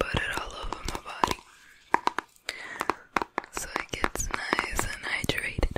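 Whispering and soft-spoken, a woman talks at a fairly slow pace. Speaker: ASMR creator. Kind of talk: soft ASMR product chat. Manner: soft close-mic ASMR whisper. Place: home room. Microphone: studio mic.

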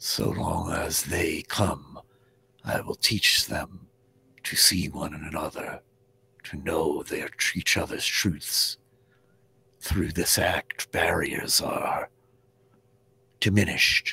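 A whispered, put-on character voice at a very slow pace. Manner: solemn, measured.

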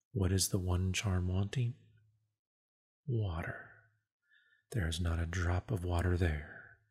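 Soft-spoken and somewhat breathy, a man talks at a very slow pace with a very deep, low pitch, very even loudness and long, frequent pauses. The recording is very clean, with a silent background. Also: ordinary pitch variation. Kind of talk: audiobook reading, ASMR. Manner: soft-spoken, relaxing.

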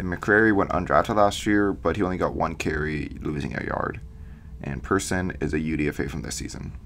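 Over noticeable background noise, a man with a very deep, low voice speaks at a moderate pace with ordinary pitch variation. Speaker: football podcast host. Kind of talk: solo podcast analysis. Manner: fillers, reading prepared notes.

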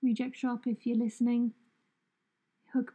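A woman with a British accent speaks in a dark, mellow tone, somewhat breathy, with ordinary pitch variation and a dry, close sound that carries no echo. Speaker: journaling vlogger. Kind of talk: voiceover narration. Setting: at home.

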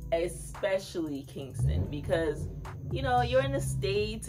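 Clear music plays in the background. A woman speaks at a moderate pace. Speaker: travel vlogger. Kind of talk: casual vlog chat. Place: home room. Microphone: phone near.

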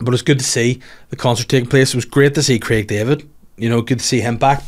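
A man speaks very fast in a Northern Irish accent at a medium pitch. The background is quiet. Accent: Northern Irish (Belfast). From Northern Ireland. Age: 30s. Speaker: comedian and podcast host. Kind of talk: casual solo chat. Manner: animated. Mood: jokey, sarcastic. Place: studio. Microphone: studio mic.

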